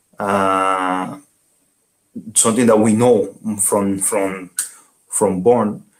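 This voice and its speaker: Fairly low-pitched man with a Dominican accent, at a very slow pace with fairly even intonation and long, frequent pauses. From Dominican Republic. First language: Spanish. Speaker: bachata dancer and teacher. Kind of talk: interview. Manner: halting.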